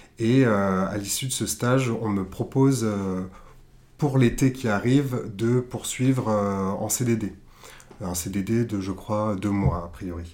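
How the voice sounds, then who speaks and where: Fairly low male voice with ordinary pitch variation. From southern France. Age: 20s. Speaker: art director. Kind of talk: interview. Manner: hesitant.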